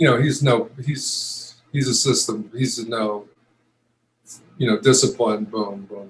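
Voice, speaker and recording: A somewhat breathy man at a medium pitch and a fairly slow pace. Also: ordinary pitch variation. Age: 70s. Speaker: retired pro football player. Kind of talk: interview. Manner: halting, many fillers and restarts.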